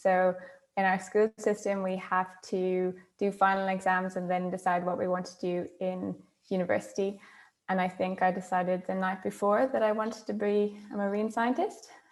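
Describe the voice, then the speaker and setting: A woman speaks with an Irish accent at a moderate pace. Her intonation stays monotone and flat. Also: medium pitch for a woman. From Ireland. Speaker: marine scientist. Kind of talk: panel discussion.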